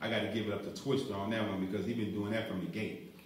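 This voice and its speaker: A man at a very fast pace, fairly even intonation, audible room echo around him. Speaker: radio host. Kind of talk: live radio show. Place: studio.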